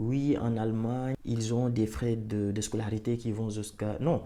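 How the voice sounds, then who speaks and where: A man speaks at a medium pitch in a dark, mellow tone, with ordinary pitch variation. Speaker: YouTuber, commentator. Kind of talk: casual opinion monologue. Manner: animated, repetitive.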